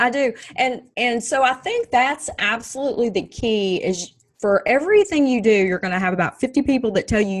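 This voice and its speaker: In a strong Texas accent, a woman talks in a high pitch with lively intonation. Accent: strong Texas twang. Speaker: Army veteran and speaker. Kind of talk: casual interview chat.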